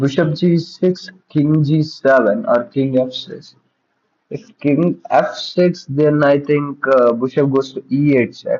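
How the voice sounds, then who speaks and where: Speaking at a very slow pace, a man with a fairly high pitch uses ordinary pitch variation. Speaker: chess coach. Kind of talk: live puzzle solving. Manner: thinking aloud, halting.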